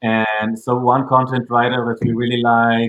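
A man's medium-pitched voice at a moderate pace, monotone and flat in intonation. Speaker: startup founder. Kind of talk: casual interview. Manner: halting, filler-heavy.

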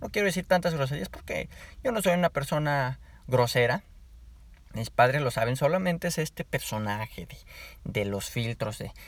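A somewhat breathy man with a fairly high pitch speaks at a moderate pace with lively intonation, an animated tone, big swings in loudness and long, frequent pauses, in a very clean recording with a silent background. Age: 20s. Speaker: podcaster. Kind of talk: casual monologue.

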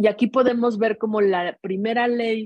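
Fairly even intonation at a very slow pace. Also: woman. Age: 40s. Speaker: feminist activist and nonprofit adviser. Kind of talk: casual chat.

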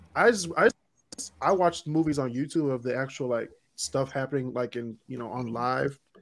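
A man talks in a plain, everyday voice at medium pitch and moderate pace, with ordinary pitch variation and big swings in loudness. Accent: American. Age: 20s. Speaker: podcast host. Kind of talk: casual chat.

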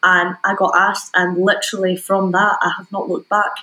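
Speaking with a Scottish accent, a woman uses a medium pitch, a fairly quick pace and monotone, flat intonation. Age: 20s. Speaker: DJ and music producer. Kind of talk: casual chat.

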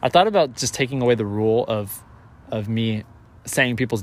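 A man with an ordinary speaking voice at medium pitch, talking at a fairly quick pace. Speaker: podcast host. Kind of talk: casual interview chat.

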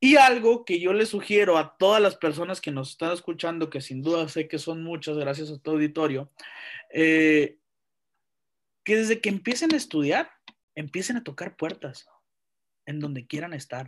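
A man speaks in a northern Mexican accent at a fairly high pitch and a moderate pace, with lively intonation. He pauses long and often against a quiet background. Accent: northern Mexican (Sonoran) Spanish. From Mexico, Sonora (Santa Ana). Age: 20s. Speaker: university lecturer and lawyer. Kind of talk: casual interview chat.

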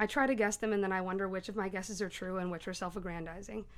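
A woman speaks at a very fast pace. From Tennessee, Knoxville. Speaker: poet at open mic. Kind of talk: poetry reading at open mic. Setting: bookstore open mic with audience.

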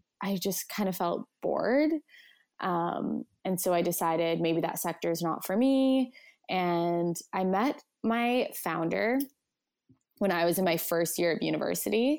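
A normal speaking voice with a Canadian accent and very even loudness, in a very clean recording with a silent background. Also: woman, fairly low pitch for a woman, fairly slow pace. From Canada, Edmonton. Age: 20s. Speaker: content creator and brand marketer. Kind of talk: casual interview chat.

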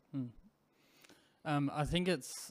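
Someone talks at a moderate pace in an Australian accent. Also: man. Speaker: podcast host. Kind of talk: interview.

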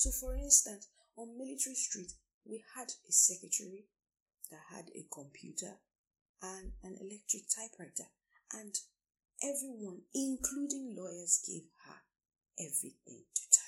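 A woman's somewhat breathy voice at medium pitch, dark and mellow in tone, with lively intonation, big swings in loudness, a moderate pace and long, frequent pauses. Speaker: career coach and lawyer. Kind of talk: solo podcast talk. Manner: formal.

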